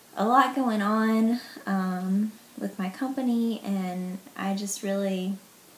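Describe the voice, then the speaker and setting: A woman talks with a Southern US accent. Her pace is very slow. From US South, Mississippi. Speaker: vlogger sharing illness experience. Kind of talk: personal vlog testimony. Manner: casual, hesitant with many fillers.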